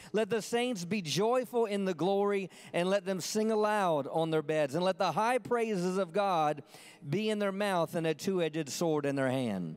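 A man's high-pitched voice, with ordinary pitch variation and very even loudness. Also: moderate pace. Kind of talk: sermon. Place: church. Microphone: handheld.

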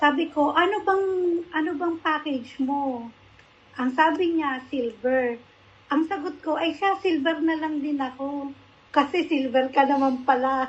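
At a fairly slow pace, a woman speaks at a high pitch with ordinary pitch variation. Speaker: product testimonial giver. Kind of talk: testimony. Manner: polite, uses po.

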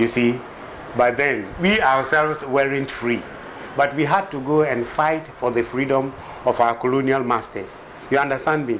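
A man's very slow speech with long, frequent pauses, ordinary pitch variation, and light background noise. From Ghana. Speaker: filmmaker; interviewee. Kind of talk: interview; interview answer. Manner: halting, repeats words. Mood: earnest, persuasive about history. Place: home room. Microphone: old recording.

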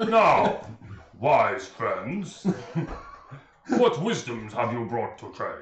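A man's put-on character voice, high-pitched, at a very slow pace with long, frequent pauses and a slight echo. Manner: grandiloquent, courteous, formal diction.

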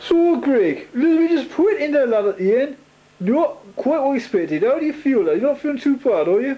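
Over noticeable background noise, a man with a British accent talks at a fairly quick pace in an extremely high pitch, his intonation lively. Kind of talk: casual banter and sports commentary. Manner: rambling, informal, halting.

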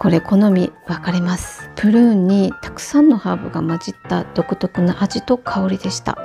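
Music plays in the background as a woman speaks at a moderate pace with hardly any pauses. Her medium-pitched voice shows ordinary pitch variation and big swings in loudness. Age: 40s. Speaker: housewife. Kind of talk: product review vlog narration.

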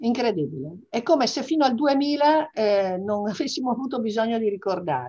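With a fairly high pitch and very wide pitch swings, a woman talks at a fairly quick pace. She leaves hardly any pauses, and the background is quiet. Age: 60s. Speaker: business executive; interviewee. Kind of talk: interview; interview answer. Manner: hesitant with fillers. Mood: reflective, emotional family memories. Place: home room. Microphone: video call.

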